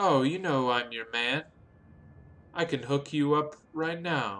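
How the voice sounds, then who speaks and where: A man's guttural put-on character voice, fairly high in pitch, at a fairly slow pace. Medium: actual play. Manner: cheerful, showy.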